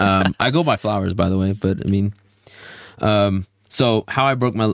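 In a plain, everyday voice, a man with an American accent speaks at a moderate pace, fairly low in pitch with ordinary variation. The recording is very clean and dry, close, with a silent background and no echo. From Houston, Texas. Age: 20s. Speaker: podcast host, airman. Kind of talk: casual chat.

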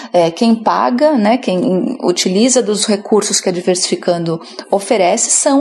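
Noticeable background noise surrounds a woman's voice. She talks at medium pitch and a moderate pace with lively intonation. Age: 30s. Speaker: HR consultant. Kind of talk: interview.

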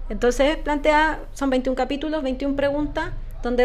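A woman with a Chilean accent talks at a moderate pace, with audible room echo. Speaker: podcast co-host. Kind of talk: casual chat.

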